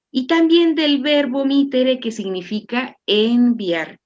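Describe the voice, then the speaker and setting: Speaking very slowly, a woman uses lively intonation. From Chihuahua, northern Mexico. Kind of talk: interview explanation.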